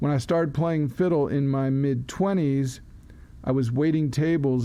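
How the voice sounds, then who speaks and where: Fairly even intonation and a dark, mellow tone mark this man's fairly high-pitched voice at a moderate pace. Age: 60s. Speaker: fiddler and poet. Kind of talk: interview. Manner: halting.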